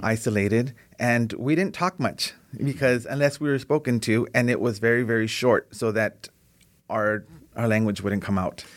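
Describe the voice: A man talks at a moderate pace with a medium pitch. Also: ordinary pitch variation.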